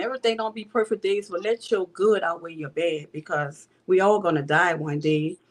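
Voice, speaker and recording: Speaking with a New Orleans accent, a woman uses a fairly low pitch and ordinary pitch variation at a moderate pace. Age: 60s. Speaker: bereaved mother. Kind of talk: testimony.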